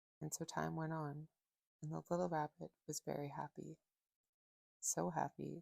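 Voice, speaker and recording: In a dry, close recording with no echo, a woman speaks at a fairly slow pace in a gentle tone. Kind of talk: ASMR bedtime story reading. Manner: soft-spoken, gentle.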